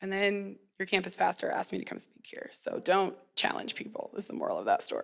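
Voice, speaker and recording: A woman's raised, projected voice with a bright, sharp tone and an American accent, at a moderate pace. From Kansas (McPherson). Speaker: elementary school teacher. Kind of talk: chapel talk. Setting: stage with audience. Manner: conversational, interactive with audience.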